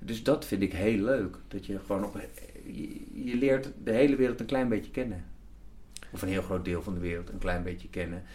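With a dark, mellow tone and fairly low pitch, a man talks at a moderate pace with ordinary pitch variation, audible room echo around him. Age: 50s. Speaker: TV executive producer. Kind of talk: interview. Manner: halting, many repetitions.

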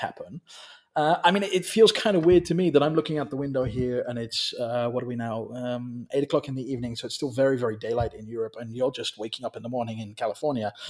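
A man talks at a very fast pace with a medium pitch. His intonation is lively, and his loudness swings widely. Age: 40s. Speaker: business consultant. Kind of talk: casual chat. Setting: video call. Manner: halting.

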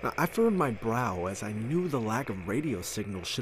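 Here a man speaks at medium pitch with a somewhat breathy voice. His pace is very fast and his intonation lively. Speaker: podcast narrator. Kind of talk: horror story narration, reading aloud.

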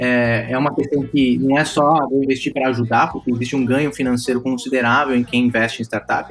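Music plays in the background. A man talks very fast at a medium pitch. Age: 30s. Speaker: tech startup founder. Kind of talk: interview.

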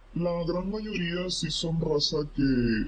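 Ordinary pitch variation in a man's voice, with noticeable background noise behind it. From Monterrey area, Mexico. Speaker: weather social media creator. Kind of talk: casual chat.

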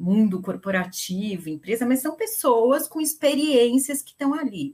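With a normal speaking voice, a woman talks at a fairly slow pace in a fairly high pitch with lively intonation. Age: 50s. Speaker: gerontologist, longevity specialist. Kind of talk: panel discussion.

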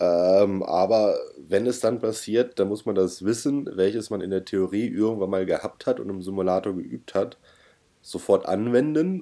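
Against a silent background in a very clean recording, a man with a dark, mellow tone and fairly low pitch speaks fairly slowly with ordinary pitch variation. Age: 30s. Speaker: podcast co-host and private pilot. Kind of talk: casual chat.

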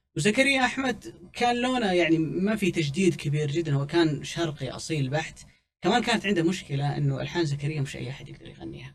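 This man has an unremarkable speaking voice, fairly high in pitch, and talks at a fairly quick pace with lively intonation and hardly any pauses. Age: 30s. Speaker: music commentator. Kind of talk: casual chat.

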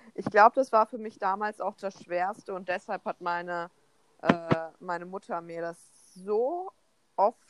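A woman speaks fairly slowly at a medium pitch with ordinary pitch variation. The sound is dry and close with no echo, though noticeable background noise is present. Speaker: podcast co-host. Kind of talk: casual chat. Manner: animated.

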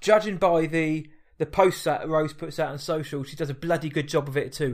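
A man with a British accent at a moderate pace, fairly high in pitch, with fairly even intonation. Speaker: podcast host. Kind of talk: casual chat.

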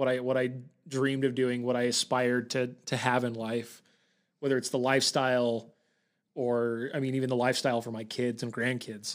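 Over a very clean recording with a silent background, a man with a medium pitch talks at a fairly quick pace in monotone, flat intonation. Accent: American. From Utah. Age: 20s. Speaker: podcast co-host, real estate agent. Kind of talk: casual chat.

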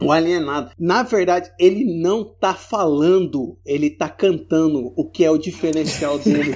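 A man with a high pitch, a fairly slow pace and hardly any pauses. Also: ordinary pitch variation. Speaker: guest. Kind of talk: casual chat.

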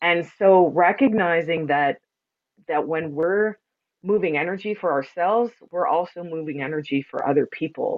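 Fairly low in pitch, a woman speaks at a moderate pace with ordinary pitch variation. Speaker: energy healer and sound practitioner. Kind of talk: casual chat interview.

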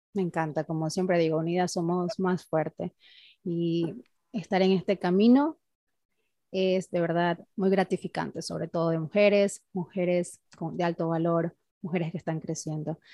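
At a moderate pace, a dark, mellow voice keeps a fairly even intonation in a dry, close sound with no echo and a quiet background. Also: woman, fairly low pitch for a woman. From Colombia. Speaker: podcast host. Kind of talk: interview.

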